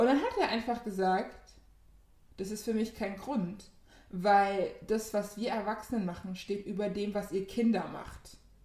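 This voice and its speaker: A woman speaks at a fairly slow pace in an unremarkable speaking voice, her pitch medium and her intonation fairly even. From Germany, Ghanaian community. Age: 20s. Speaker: podcast co-host. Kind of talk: casual chat.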